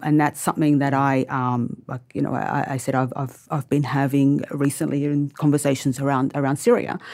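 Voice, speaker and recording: A woman talks with an Australian accent at a very deep, low pitch. Her intonation is fairly even. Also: moderate pace. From Australia, born in Lebanon. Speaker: writer. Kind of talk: panel discussion. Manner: halting.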